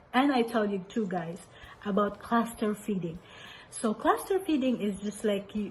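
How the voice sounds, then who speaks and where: A woman speaks with a Filipino accent. Her pitch is fairly high. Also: ordinary pitch variation, moderate pace. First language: Cebuano. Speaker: mother sharing parenting tips. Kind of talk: casual advice talk. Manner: code-switching English and Cebuano.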